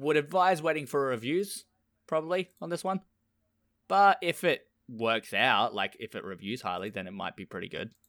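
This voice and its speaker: A man's fairly high voice at a moderate pace, with very wide pitch swings, big shifts in loudness, and a very clean recording over a silent background. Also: dry, close sound with no echo. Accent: Australian. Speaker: podcast host. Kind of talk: casual chat.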